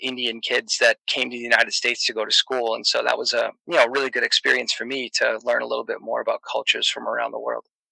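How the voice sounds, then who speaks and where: A man with an American accent speaks at a very fast pace with hardly any pauses, in a dry, close sound with no echo. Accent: Boston accent, toned down. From Boston, Massachusetts. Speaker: comedian and podcaster. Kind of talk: casual chat. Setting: online voice chat. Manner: hesitant, many fillers.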